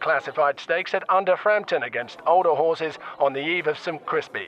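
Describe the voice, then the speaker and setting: A man speaks fairly quickly in a high voice. Noticeable background noise runs underneath. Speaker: comedic horse racing commentator. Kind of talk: breathless escalating race call, spoof live horse racing commentary. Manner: rapid-fire, rising excitement as the field tussles for position; frantic repetition of horse names in the tight finish.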